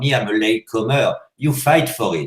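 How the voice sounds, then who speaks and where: A man with a French accent talks at a moderate pace. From France. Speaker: hash maker. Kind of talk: interview. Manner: loud; animated.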